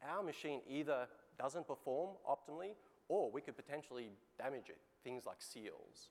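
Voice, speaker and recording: Speaking with an Australian accent, a man uses a fairly high pitch with ordinary pitch variation. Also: moderate pace. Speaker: industry executive presenting customer case. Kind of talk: conference keynote presentation.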